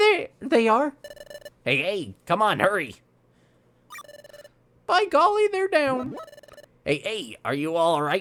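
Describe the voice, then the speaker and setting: A put-on character voice moves at a fairly slow pace with long, frequent pauses. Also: man, high pitch for a man. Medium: solo performance. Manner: varied acted delivery.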